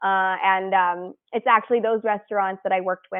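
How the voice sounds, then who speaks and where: The woman talks at a very fast pace. Her pitch is medium and her intonation fairly even. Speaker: design studio founder. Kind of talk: presentation.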